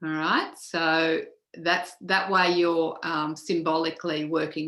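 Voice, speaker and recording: A woman with an Australian accent, very deep, low pitch and monotone, flat intonation. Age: 60s. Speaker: feng shui teacher. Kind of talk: casual chat.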